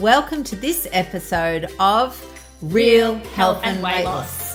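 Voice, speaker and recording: Music plays in the background as a woman speaks at a very slow pace and medium pitch with lively intonation. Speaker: doctor, podcast host. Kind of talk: podcast conversation.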